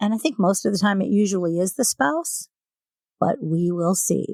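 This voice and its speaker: Her pitch sits in the medium range for a woman. She speaks at a moderate pace with lively intonation. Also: very even loudness. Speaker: true crime podcast host. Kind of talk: true crime storytelling.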